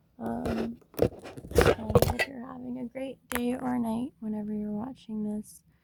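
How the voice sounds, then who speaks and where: A woman speaks with a fairly high pitch and a somewhat breathy quality. Her tone is dark and mellow. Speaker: tarot reader. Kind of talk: personal reading. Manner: slow.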